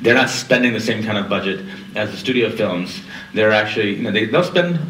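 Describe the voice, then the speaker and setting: A man's voice with lively intonation, audible room echo and light background noise. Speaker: panelist. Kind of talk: lecture. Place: hall.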